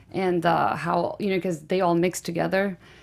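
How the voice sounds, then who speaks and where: With a slight Guatemalan accent, a woman talks at a medium pitch. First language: Spanish. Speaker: film director. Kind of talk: casual interview. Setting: studio.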